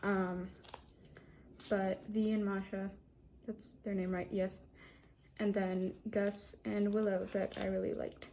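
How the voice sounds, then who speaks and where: Pausing often and at length, a woman speaks at a medium pitch with flat, monotone intonation. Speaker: art youtuber. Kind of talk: casual vlog. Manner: stuttering.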